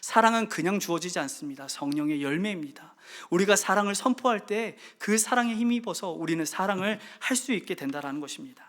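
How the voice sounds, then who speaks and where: The recording is very clean with a silent background, and the delivery comes at a fairly quick pace. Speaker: pastor. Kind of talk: sermon. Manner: fast.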